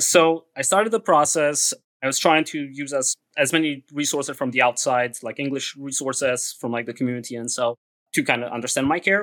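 The speaker goes at a fairly quick pace in a Romanian accent, with ordinary pitch variation and a dry, close sound with no echo. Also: man, fairly high pitch for a man. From Romania (Transylvania). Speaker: podcast guest. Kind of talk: interview.

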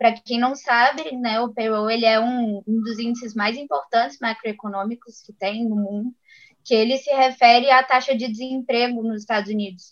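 Using a plain, everyday voice, a woman speaks at a moderate pace with fairly even intonation and big swings in loudness. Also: fairly high pitch for a woman. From Belo Horizonte, Brazil. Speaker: investment advisor. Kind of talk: casual chat.

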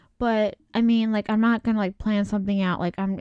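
A woman's fairly high voice comes through a very clean recording with a silent background and a dry, close sound with no echo. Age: 20s. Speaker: solo podcaster. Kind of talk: casual chat. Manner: rambling with many fillers.

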